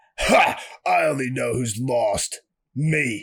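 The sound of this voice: A man does a put-on character voice, raspy and gravelly at medium pitch. He speaks at a very slow pace.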